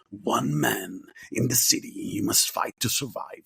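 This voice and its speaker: A man uses a gravelly, raspy put-on character voice at a moderate pace. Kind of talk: dramatic trailer delivery.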